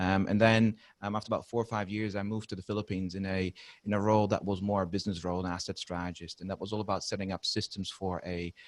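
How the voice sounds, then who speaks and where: With a Dutch accent, this very fast speaker keeps a monotone, flat intonation on a very clean recording with a silent background. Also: man, fairly low pitch for a man. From Netherlands. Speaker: maintenance and reliability consultant. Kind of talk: podcast interview.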